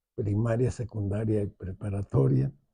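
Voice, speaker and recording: The man's tone is dark and mellow. A somewhat breathy quality runs through his speech. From Mexico City. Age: 80s+. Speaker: architect. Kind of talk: interview. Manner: halting.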